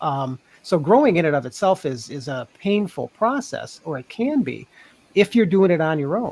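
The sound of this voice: This man's voice sits fairly high and has big pitch swings. He talks at a moderate pace with a slightly mellow tone.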